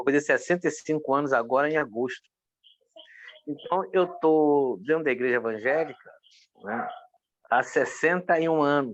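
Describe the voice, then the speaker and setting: A man's fairly high voice with ordinary pitch variation, a moderate pace, and long, frequent pauses. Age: 60s. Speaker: pastor. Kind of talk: interview testimony.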